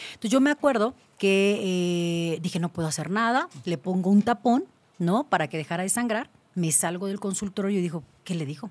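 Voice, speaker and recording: A woman talks at a moderate pace, her intonation lively throughout. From Mexico, Cancún; Mexico. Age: 30s. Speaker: gynecologist; guest. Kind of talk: interview. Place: studio. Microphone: studio mic.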